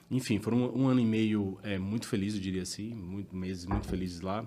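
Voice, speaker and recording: A man talks at a moderate pace with a Bahian accent. His pitch is fairly low and his intonation fairly even. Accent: Bahian accent, noticeable. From Bahia, Brazil (Salvador). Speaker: tax director. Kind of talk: podcast interview. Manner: casual, conversational.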